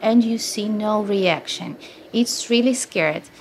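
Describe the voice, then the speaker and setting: Here a woman speaks with a Ukrainian accent. Her pitch is fairly high and her pace fairly slow. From Ukraine. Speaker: teacher. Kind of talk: interview. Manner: halting.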